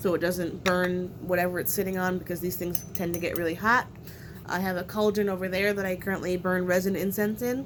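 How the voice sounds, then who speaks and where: Through audible room echo, a woman at a medium pitch talks at a fairly quick pace with fairly even intonation. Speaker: witchcraft content creator. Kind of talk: unboxing video. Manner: hesitant fillers.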